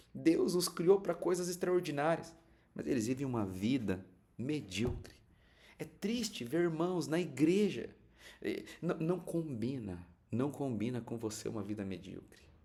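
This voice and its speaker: A man's dark, mellow tone, fairly high-pitched for a man, with vocal fry, very wide pitch swings, a fairly slow pace and audible room echo. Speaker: pastor. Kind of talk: sermon. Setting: livestream. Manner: animated.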